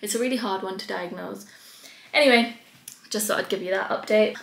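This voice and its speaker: Speaking at a fairly quick pace with fairly even intonation, a woman is heard in a room with audible echo. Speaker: vlogger. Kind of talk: casual vlog chat. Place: home room. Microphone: phone near.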